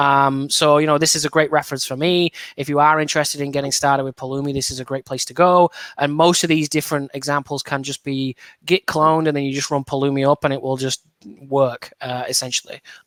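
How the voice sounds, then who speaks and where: A man's very fast, fairly high-pitched speech in an English accent, monotone and flat, with a dry, close sound and no echo. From northern England, Burnley. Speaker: software developer advocate. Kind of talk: podcast interview.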